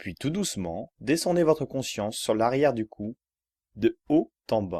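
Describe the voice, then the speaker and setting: Dry and close with no echo, a man speaks at a fairly slow pace and medium pitch. His tone is calm, soothing, dark and mellow, and his pitch swings very widely. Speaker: yoga relaxation guide. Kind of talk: yoga nidra guided relaxation for sleep. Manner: calm, slow, soothing.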